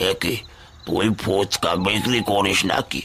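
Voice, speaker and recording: A man speaks in a raspy, cartoonish character voice with fairly low pitch. His intonation stays fairly even over clear background noise. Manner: fatherly, addresses with intimate tui.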